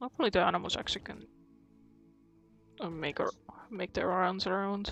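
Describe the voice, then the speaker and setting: A woman mumbles at a fairly quick pace with a medium pitch, ordinary pitch variation and a non-native accent. Music plays in the background. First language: not English. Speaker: gaming streamer. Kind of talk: live gameplay commentary. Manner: mumbling; halting.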